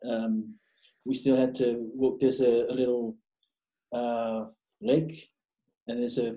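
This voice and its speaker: A man's medium-pitched voice with a Samoan accent. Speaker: podcast guest, graphic designer. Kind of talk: casual interview. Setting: video call. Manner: casual, profane.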